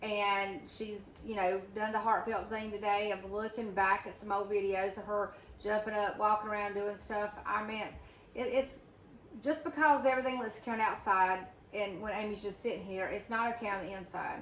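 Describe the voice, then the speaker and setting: A woman speaks at a medium pitch with fairly even intonation. Room echo is audible. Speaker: channel host, friend and advocate. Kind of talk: casual chat. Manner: loud; fast.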